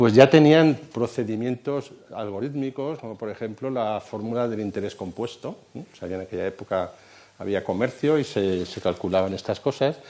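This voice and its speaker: At a moderate pace, a man speaks in a dark, mellow tone at a medium pitch with ordinary pitch variation. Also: big swings in loudness. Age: 60s. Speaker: computer science lecturer. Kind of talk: lecture.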